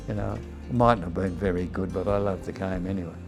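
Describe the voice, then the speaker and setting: Music sits under a man speaking with an Australian accent. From Sydney, Australia. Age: 80s+. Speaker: retired rugby league player. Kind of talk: interview answer.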